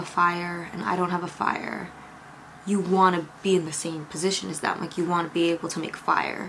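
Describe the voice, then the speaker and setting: A woman speaks at a moderate pace, her fairly low voice carrying fairly even intonation. Noticeable background noise runs underneath. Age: 20s. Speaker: YouTube creator and podcast host. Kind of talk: casual vlog talk to camera. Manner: calm, chatty.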